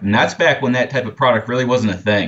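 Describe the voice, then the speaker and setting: This is a man with a plain, everyday voice. His pitch is medium, with ordinary pitch variation. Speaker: product manager. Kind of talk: casual interview chat.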